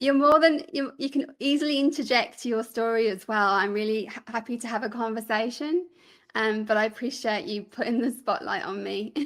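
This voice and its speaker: Someone with a Birmingham accent speaks at a moderate pace with ordinary pitch variation on a very clean recording with a silent background. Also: woman. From England, Birmingham. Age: 40s. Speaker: podcaster and filmmaker. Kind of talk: interview.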